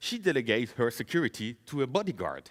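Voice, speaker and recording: A man talks with vocal fry and very wide pitch swings, the sound dry and close with no echo. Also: very clean recording, silent background. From France and Netherlands. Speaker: software engineer, conference speaker. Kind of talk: conference talk, live coding. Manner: casual, joking.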